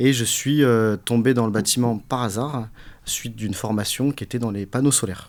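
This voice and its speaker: This is a plain, everyday voice from a man at medium pitch. He keeps a moderate pace and fairly even intonation. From southern France, Nice. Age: 40s. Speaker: business owner, HVAC company. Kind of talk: interview, casual chat.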